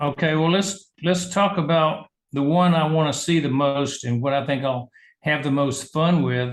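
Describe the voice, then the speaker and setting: A man with a Southern US accent, fairly high in pitch, at a moderate pace with ordinary pitch variation and very even loudness. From US South, Georgia. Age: 70s. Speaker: medical doctor and business leader. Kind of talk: interview.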